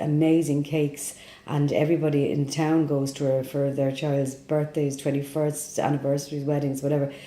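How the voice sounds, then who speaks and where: With a Dublin accent, a woman speaks at a moderate pace in a dark, mellow tone, with very deep, low pitch and monotone, flat intonation, and audible room echo. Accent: Dublin Irish. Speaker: immigrant interviewee. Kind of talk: interview testimony.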